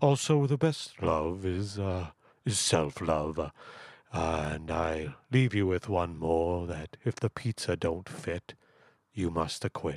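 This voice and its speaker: A man's very deep, low pitch at a very slow pace, with lively intonation and a quiet background. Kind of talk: radio call-in show host. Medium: comedy sketch. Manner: pompous, polite, formal.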